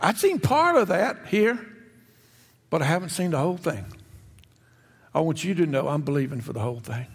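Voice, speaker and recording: Talking fairly quickly with long, frequent pauses, a man uses a high pitch and very wide pitch swings. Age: 70s. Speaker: retired pastor. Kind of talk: sermon. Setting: church. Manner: halting.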